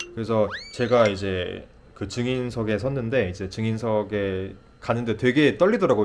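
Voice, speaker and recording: Here we hear an ordinary speaking voice. The pitch rises and falls by an ordinary amount. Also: man. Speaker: nurse practitioner. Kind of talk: casual vlog storytelling.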